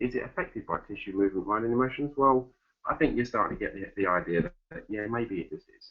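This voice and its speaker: Talking very fast in an Essex accent, a man uses lively intonation at a medium pitch. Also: big swings in loudness. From Essex, England. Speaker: fitness educator. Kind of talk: webinar presentation.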